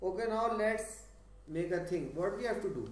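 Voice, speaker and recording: Noticeable background noise and audible room echo surround a man speaking with ordinary pitch variation. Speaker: physics tutor. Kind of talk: lecture. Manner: slow.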